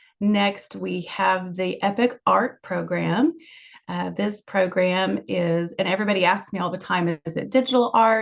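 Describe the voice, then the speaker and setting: A woman with an ordinary speaking voice talks at a moderate pace in a medium pitch. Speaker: school staff presenter. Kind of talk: informational presentation.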